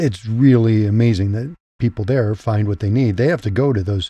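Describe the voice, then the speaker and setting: A man's somewhat breathy voice with a dark, mellow tone and ordinary pitch variation, dry and close with no echo, over a quiet background. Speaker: podcast host. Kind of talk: scripted intro then interview.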